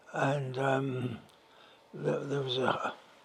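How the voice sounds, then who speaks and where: A man at a medium pitch speaks at a very slow pace. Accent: London. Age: 90s. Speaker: retired gas works clerk. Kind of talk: interview answer.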